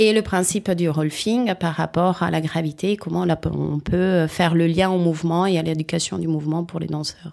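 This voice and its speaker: A woman's fairly low-pitched voice. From Italy. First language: Italian (speaking French). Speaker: rolfing practitioner, former dancer. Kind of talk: interview. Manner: halting.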